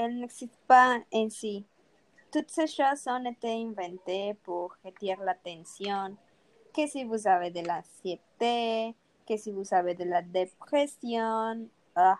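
Very slowly, a woman talks in a fairly high pitch. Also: ordinary pitch variation. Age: 60s. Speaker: retired nurse. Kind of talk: panel debate.

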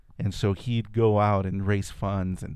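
A very slow, fairly low, dark and mellow male voice with a Spanish accent, in a very clean recording with a silent background. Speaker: artist. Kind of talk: casual interview chat.

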